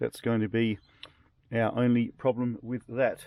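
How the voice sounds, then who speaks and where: This man speaks at a medium pitch in an Australian accent. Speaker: drone hobbyist YouTuber. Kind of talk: casual video presentation. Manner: casual, conversational.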